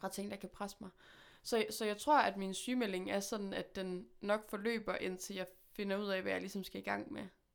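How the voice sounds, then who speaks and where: A plain, everyday voice is heard. It keeps a moderate pace with fairly even intonation. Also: woman, medium pitch for a woman. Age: 20s. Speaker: musician. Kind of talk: casual chat. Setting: studio.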